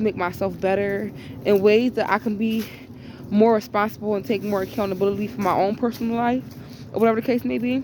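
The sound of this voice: This woman's voice sits at a medium pitch, with a slightly mellow tone and fairly even intonation.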